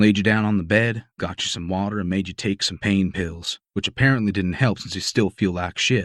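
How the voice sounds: Quiet surroundings frame a natural reading voice.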